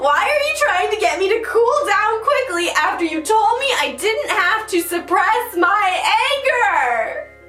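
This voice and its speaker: The pitch swings very widely, heard through noticeable background noise and audible room echo. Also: woman. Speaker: mental health commentator. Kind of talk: critique of an article. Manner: animated.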